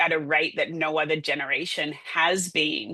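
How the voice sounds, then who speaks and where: A woman with an Australian accent and a bright, sharp tone. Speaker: public relations agency owner. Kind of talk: podcast interview. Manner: animated.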